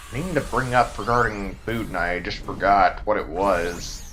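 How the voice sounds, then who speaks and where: Over background music and audible room echo, a man with a Texan accent talks at a fairly slow pace. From Texas. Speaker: video game streamer. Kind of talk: casual live stream chat.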